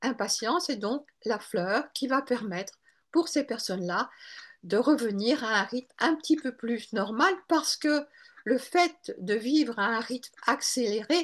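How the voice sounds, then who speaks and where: A woman speaks at a very slow pace in a high pitch. Her voice makes very wide pitch swings over a quiet background. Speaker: Bach flower practitioner and author. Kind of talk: webinar lecture. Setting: online webinar.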